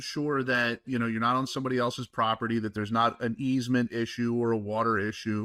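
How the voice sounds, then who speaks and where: Here a man speaks at a medium pitch in a normal speaking voice. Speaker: podcast host. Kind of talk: casual podcast conversation.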